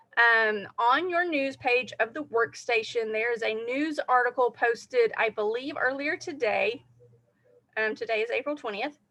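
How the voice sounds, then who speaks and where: Speaking at a moderate pace, a woman has a high, bright, sharp voice with ordinary pitch variation. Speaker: direct sales team leader. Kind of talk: live training talk. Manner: casual, filler-heavy.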